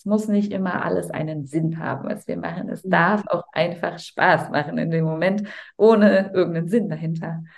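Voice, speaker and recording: A woman's fairly low-pitched voice with vocal fry, at a moderate pace. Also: ordinary pitch variation. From Cologne, Germany. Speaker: voice-over speaker and holistic health coach. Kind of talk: casual interview chat.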